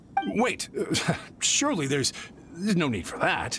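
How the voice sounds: Slow and in a put-on character voice, the speaker uses a bright, sharp tone and big pitch swings, with faint music in the background. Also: man, fairly high pitch for a man.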